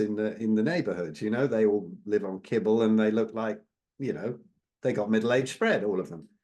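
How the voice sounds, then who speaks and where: This man has a dark, mellow tone at a medium pitch. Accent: English. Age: 60s. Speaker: carnivore diet advocate. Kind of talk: interview.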